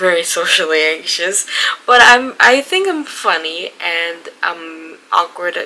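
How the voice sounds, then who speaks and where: A woman with a Spanish accent speaks at a very slow pace in a fairly low pitch. Noticeable background noise is present. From Mexico. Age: 20s. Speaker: book vlogger. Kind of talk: casual vlog. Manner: halting, many fillers.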